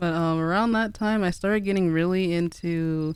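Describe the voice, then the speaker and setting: The tone is relaxed. The pace is fairly slow. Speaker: streamer. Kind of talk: casual livestream chat. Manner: soft-spoken, relaxed.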